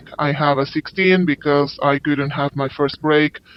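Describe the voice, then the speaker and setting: At a moderate pace, a man talks in a flat monotone with a fairly high pitch. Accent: Spanish. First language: Spanish. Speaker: overseas interpreter. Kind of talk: interview.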